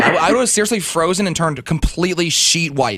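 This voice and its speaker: A man speaks at a very fast pace and high pitch with ordinary pitch variation. Noticeable background noise is present. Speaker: radio DJ. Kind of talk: morning radio show banter.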